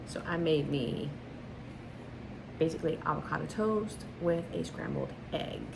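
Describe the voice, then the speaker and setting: The quiet voice moves at a fairly slow pace with long, frequent pauses, over noticeable background noise and audible room echo. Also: woman. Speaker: lifestyle vlogger. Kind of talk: casual vlog. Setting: at home. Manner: quiet, talking low.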